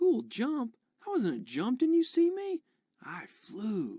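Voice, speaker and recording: A put-on character voice, high in pitch, at a fairly slow pace. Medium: video game.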